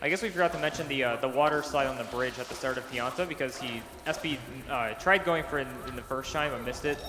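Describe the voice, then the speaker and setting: A man speaks at a fairly high pitch with ordinary pitch variation. He goes very fast, with noticeable background noise around him. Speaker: speedrun commentator. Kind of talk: live commentary.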